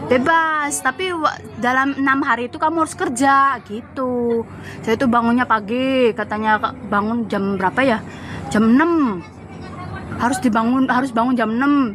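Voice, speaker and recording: Noticeable background noise sits behind a woman with a high pitch. She talks at a moderate pace with very even loudness and ordinary pitch variation. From Java, Indonesia. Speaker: migrant domestic worker. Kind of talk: casual chat.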